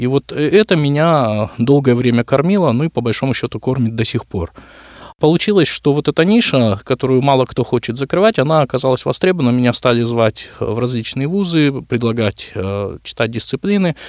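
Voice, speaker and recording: In a plain, everyday voice, a man of medium pitch talks at a moderate pace with lively intonation. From Kyrgyzstan, Bishkek. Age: 30s. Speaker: director of a social centre for the visually impaired. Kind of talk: radio interview. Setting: studio.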